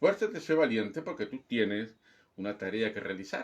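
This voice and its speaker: A man talks at a fairly slow pace with vocal fry. His pitch swings very widely. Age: 60s. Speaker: pastor. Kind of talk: sermon. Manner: emphatic, repetitive exhortation.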